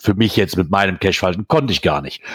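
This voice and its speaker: Vocal fry runs through a man's fairly quick speech, which swings very widely in pitch. The recording is very clean, with a silent background and a dry, close sound with no echo. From Germany, near the Eifel. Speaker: podcast host. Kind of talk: casual chat.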